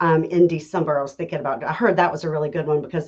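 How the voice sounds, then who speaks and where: A woman with a strong Southern accent talks at a very fast pace, her very deep, low voice showing ordinary pitch variation. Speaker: realtor. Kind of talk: casual chat.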